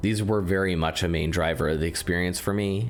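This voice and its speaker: A man talks fairly quickly, his pitch varying in an ordinary way. Noticeable background noise runs under him. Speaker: video game critic. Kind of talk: video essay narration.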